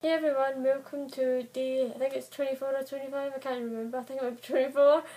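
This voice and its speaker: A woman speaks in a high pitch. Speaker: book vlogger. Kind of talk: casual vlog talk. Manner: fast; hesitant, many fillers.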